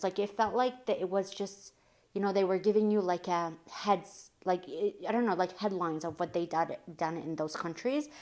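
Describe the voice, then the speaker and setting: In a very clean recording with a silent background, a woman with an unremarkable speaking voice talks at a moderate pace, her medium pitch showing ordinary pitch variation. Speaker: lifestyle vlogger. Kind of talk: casual book recommendation vlog.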